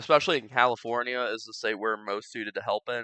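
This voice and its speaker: A man's voice comes through in a bright, sharp tone, with a dry, close sound and no echo. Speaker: gaming commentator. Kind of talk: casual gameplay commentary. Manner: dry, low-key.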